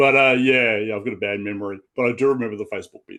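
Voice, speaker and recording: Keeping a fairly even intonation, a man talks at a very fast pace. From Australia. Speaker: comic book artist. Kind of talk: casual interview chat.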